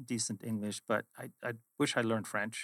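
At a moderate pace, a man speaks with a Swedish accent and medium pitch. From Sweden. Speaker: finance executive. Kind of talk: interview. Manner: direct.

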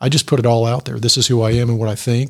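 Speaking at a very fast pace, a man with a medium pitch and a somewhat breathy voice keeps his intonation fairly even, in a dry, close sound with no echo. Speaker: executive coach and author. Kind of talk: radio interview. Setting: studio. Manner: calm.

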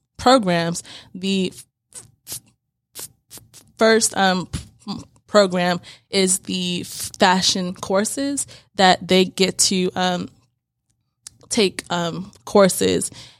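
Music plays behind a woman speaking at a medium pitch. She talks very slowly, with long, frequent pauses. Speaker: fashion sewing company founder. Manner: halting, repeats sounds, hesitant.

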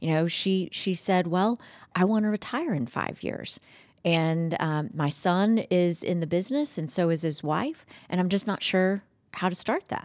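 A woman with an American accent speaks in a plain, everyday voice at a medium pitch, with ordinary pitch variation. She talks at a fairly slow pace in a very clean recording with a silent background. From Georgia, US (Madison, Morgan County). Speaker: commercial banking executive. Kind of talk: interview. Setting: studio.

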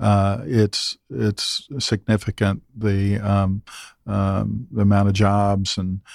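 A man with an American accent speaks very slowly at a fairly low pitch in a monotone, flat delivery, the sound dry and close with no echo on a very clean recording with a silent background. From US South, Lexington, Kentucky. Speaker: convention bureau sales executive. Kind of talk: casual interview chat. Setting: studio. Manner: halting, many fillers.

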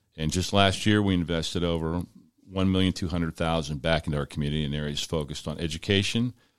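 With a very deep, low pitch and ordinary pitch variation, a man goes at a fairly quick pace on a very clean recording with a silent background. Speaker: sheriff's office commander. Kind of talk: casual radio interview. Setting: studio.

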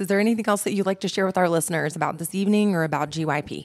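A woman speaks at a very fast pace with lively intonation. Her tone is animated. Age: 30s. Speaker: radio host. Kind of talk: live interview at event. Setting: live event broadcast.

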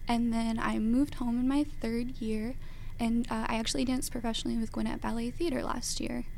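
A speaker with an American accent talks in a dark, mellow tone with fairly even intonation, and audible room echo surrounds the voice. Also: woman. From Georgia, US. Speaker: professional ballet dancer. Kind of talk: radio interview. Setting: radio studio.

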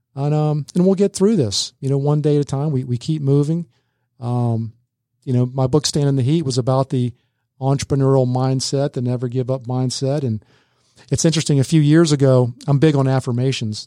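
At a fairly quick pace, a man talks in a medium-pitched voice with a dark, mellow tone and fairly even intonation. The sound is dry and close, with no echo. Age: 50s. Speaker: consultant and speaker. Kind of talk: interview. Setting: studio.

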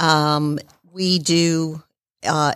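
Monotone, flat intonation in a Southern US accent, on a very clean recording with a silent background. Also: woman, dry, close sound with no echo. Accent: Southern US (Georgia). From Marietta, Georgia, US South. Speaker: accountant and small business owner. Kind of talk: casual interview. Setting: studio.

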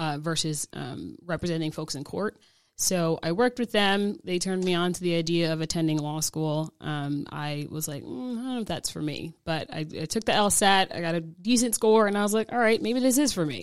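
Speaking with an American accent and hardly any pauses, a woman has an unremarkable speaking voice on a very clean recording with a silent background. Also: fairly low pitch for a woman, moderate pace. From New Jersey. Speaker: family law attorney. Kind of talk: radio interview. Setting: studio.

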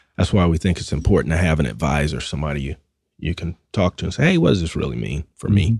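A man talks very fast in a Southern US accent, his very deep, low voice showing vocal fry and ordinary pitch variation. The sound is dry and close, with no echo. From US South. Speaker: financial broker. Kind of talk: radio interview. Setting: studio.

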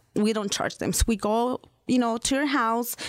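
A woman speaks with a Spanish accent at a fairly high pitch. Her intonation stays fairly even, and her pace is moderate. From Mexico. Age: 30s. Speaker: financial services representative. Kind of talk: radio interview.

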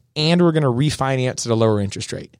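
A man talking at a very fast pace with lively intonation, on a very clean recording with a silent background. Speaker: gym owner and fitness coach. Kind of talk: radio interview. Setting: studio.

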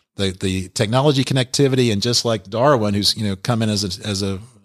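A man with a fairly low pitch speaks at a fairly quick pace in an ordinary speaking voice. His intonation is fairly even, and the recording is very clean with a silent background. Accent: American. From US South, Alpharetta, Georgia. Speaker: tech consultant and business owner. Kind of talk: radio interview. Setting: studio.

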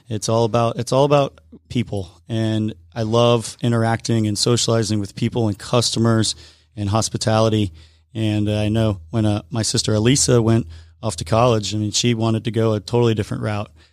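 A man's medium-pitched, ordinary speaking voice moves at a fairly quick pace with fairly even intonation, on a very clean recording with a silent background. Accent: American. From US South, Atlanta area. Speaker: brewery owner. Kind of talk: radio interview. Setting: studio.

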